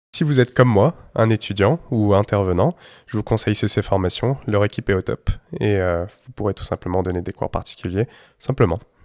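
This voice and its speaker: On a very clean recording with a silent background and a dry, close sound with no echo, a man with a fairly low voice speaks at a fairly quick pace with ordinary pitch variation. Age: 20s. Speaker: university student and private tutor. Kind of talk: promotional recommendation; interview testimony. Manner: hesitant, many filler sounds.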